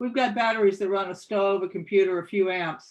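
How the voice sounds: Pitch moves in an ordinary way here. The delivery is a natural reading voice.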